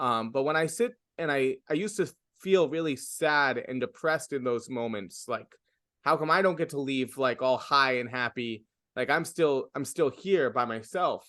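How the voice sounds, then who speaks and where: A man with a New York accent speaks at a moderate pace. His fairly high voice has a bright, sharp tone. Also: ordinary pitch variation. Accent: New York American English. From US, New York City. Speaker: stand-up comedian. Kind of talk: interview. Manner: halting.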